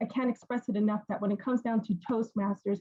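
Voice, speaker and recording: A woman's voice with ordinary pitch variation. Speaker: university professor and career counselor. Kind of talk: panel Q&A answer. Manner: fast.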